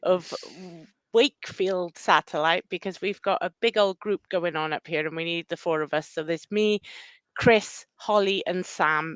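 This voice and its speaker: The voice has a Welsh accent and a dry, close sound with no echo. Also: woman, quiet background. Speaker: running club run leader. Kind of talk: casual chat.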